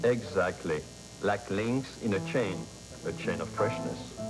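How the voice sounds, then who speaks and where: A fairly low-pitched man at a fairly slow pace, with music in the background. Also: ordinary pitch variation. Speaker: grocery chain vice president. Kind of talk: corporate interview answer. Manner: stilted.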